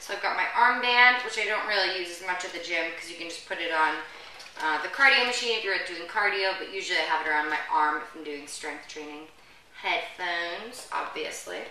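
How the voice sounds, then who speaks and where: A woman's voice rises and falls a great deal in loudness. Audible room echo surrounds it. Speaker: fitness host. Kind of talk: casual vlog chat. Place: home room. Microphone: camera far.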